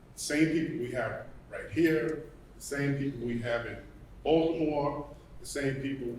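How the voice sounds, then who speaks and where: Audible room echo carries a man's voice as he speaks slowly, at a fairly slow pace, in a New York accent. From New York City. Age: 60s. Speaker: retired firefighter, community member. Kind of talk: public comment at a panel event.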